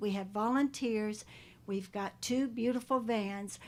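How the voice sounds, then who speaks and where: On a very clean recording with a silent background, a woman speaks fairly slowly with fairly even intonation at a fairly high pitch. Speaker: animal shelter volunteer group representative. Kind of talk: public meeting presentation. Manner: loud.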